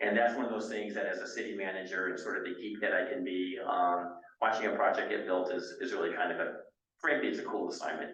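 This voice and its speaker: With audible room echo around him, a man speaks at a very fast pace. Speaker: city manager. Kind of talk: speech to a board meeting. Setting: meeting room at a senior center. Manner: loud.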